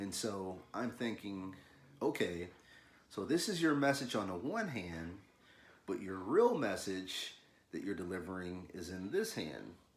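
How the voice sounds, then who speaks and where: With an American accent, a man talks at a fairly slow pace in a fairly low pitch with lively intonation, and room echo is audible. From US South, Louisville, Kentucky. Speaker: artist, illustrator. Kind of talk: casual video talk, art tutorial intro. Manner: casual, halting with fillers and repeats.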